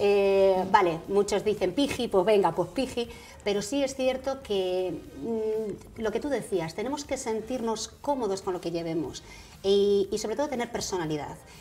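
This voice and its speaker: A woman at a fairly slow pace over faint music in the background. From Spain, Galicia (Vigo); Galicia, Spain. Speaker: actress and radio presenter; actress, radio presenter. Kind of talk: interview. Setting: TV studio. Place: studio. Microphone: lapel.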